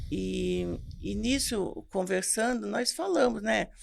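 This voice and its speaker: A woman speaks at a very slow pace. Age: 60s. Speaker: pastor. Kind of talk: testimony.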